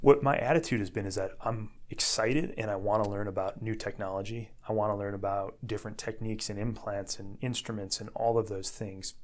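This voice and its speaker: With an American accent and an unremarkable speaking voice, the speaker talks at a fairly quick pace with fairly even intonation and hardly any pauses. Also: man, fairly low pitch for a man. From US Midwest, Northwest Indiana. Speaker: orthopedic surgeon. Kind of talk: interview.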